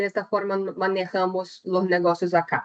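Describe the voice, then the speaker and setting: A woman speaks with a Brazilian accent. The sound is dry and close, with no echo. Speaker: chemical engineer, technical presenter. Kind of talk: webinar presentation. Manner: deliberately slow; hesitant, many fillers.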